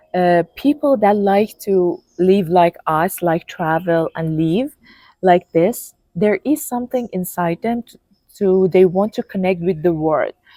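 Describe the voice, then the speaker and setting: In a dry, close recording with no echo, a woman with a non-native accent speaks at a fairly slow pace, her dark, mellow tone at medium pitch with ordinary variation and big swings in loudness. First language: not English. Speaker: health content creator and author. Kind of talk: casual chat. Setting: in person, sitting together. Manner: halting, many fillers.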